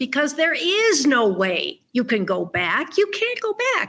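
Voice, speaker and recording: Her voice is raised and projected. The woman speaks at a very slow pace. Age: 70s. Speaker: author. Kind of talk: interview.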